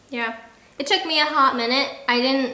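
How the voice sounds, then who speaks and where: Room echo clearly audible, background noise noticeable, and pitch varying in an ordinary way. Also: woman. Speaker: military spouse, video creator. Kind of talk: casual chat. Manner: loud.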